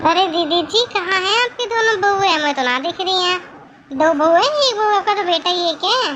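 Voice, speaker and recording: A woman uses a cartoonish character voice at an extremely high pitch and a fairly quick pace. Clear background noise is present. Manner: loud, scolding.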